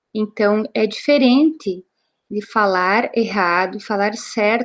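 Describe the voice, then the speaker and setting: Here a woman speaks with a fairly high pitch. Her pace is very slow. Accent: gaúcho. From interior of Rio Grande do Sul, Brazil. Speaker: Portuguese teacher and sales consultant. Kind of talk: training talk.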